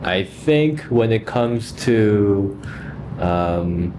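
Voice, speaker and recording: The pace is very slow. Noticeable background noise sits behind the voice. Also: man. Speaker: language learner vlogger. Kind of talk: casual practice vlog.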